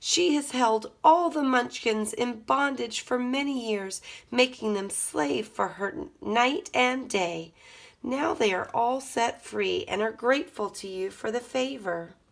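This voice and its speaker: A woman puts on a raspy, high-pitched character voice with lively intonation. She speaks at a fairly slow pace. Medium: read story. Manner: gentle, calm.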